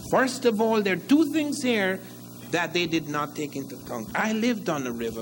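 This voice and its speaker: A man with a Guyanese accent talks at a moderate pace, with room echo audible. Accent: Guyanese Caribbean English. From Guyana. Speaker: historian lecturer. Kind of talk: lecture.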